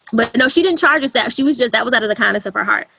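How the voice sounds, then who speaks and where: A woman speaks in a Southern US accent with a bright, sharp tone. Her pitch varies in an ordinary way, and vocal fry comes through. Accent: Southern twang. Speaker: wedding photographer. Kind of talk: podcast interview.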